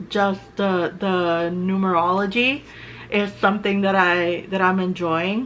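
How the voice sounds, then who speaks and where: This woman's voice sits at a medium pitch. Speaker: artist and tarot video maker. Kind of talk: casual chat. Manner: halting.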